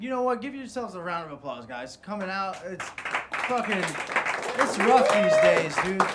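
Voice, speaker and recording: Over crowd noise in the background and audible room echo, a man with an American accent speaks at a moderate pace in a high pitch. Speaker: stand-up comedian. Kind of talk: stand-up.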